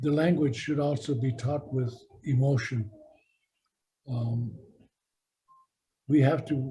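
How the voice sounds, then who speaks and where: At a fairly slow pace, a man with a fairly high pitch speaks in a dark, mellow, somewhat breathy tone with ordinary pitch variation. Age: 70s. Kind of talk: speech at a language gathering.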